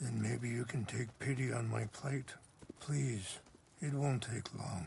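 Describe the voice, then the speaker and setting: A man's put-on character voice, raspy and medium in pitch, with very even loudness and a fairly slow pace. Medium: video game. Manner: gentle, measured, soft-spoken.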